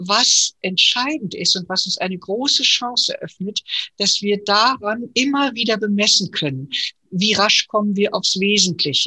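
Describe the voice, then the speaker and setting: Speaking at a fairly slow pace, a woman uses a medium pitch with ordinary pitch variation and a bright, sharp tone. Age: 60s. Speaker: podcast host and transformation consultant. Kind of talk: casual discussion. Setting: video call.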